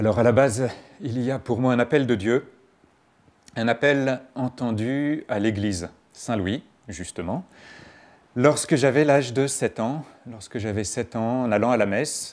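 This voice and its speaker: A man talks at a fairly slow pace, with long, frequent pauses. His pitch is medium with ordinary variation. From France, Paris region (Garches). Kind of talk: interview testimony.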